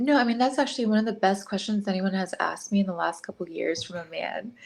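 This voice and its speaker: A woman with an American accent, medium pitch, ordinary pitch variation and a very fast pace. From New York. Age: 30s. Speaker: dating show guest, model. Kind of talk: interview. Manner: soft-spoken.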